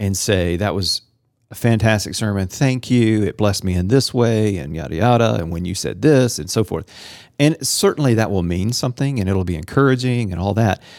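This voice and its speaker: A man's fairly low voice, an unremarkable speaking voice, with lively intonation and a fairly quick pace in a very clean recording with a silent background. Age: 40s. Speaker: pastor and podcast host. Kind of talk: casual interview.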